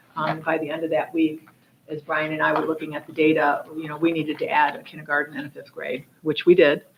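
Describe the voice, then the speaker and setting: A woman talks at a very fast pace with a very deep, low pitch. Her loudness swings widely, and noticeable background noise runs underneath. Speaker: school district administrator. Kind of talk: board meeting report. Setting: public board meeting. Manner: halting, many fillers.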